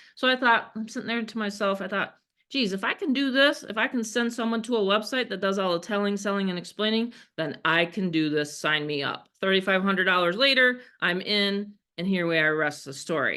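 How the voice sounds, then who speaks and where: With an American accent, a woman speaks at a medium pitch and a fairly quick pace, her intonation lively. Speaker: online marketing coach. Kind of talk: video call presentation. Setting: video call. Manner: casual, conversational.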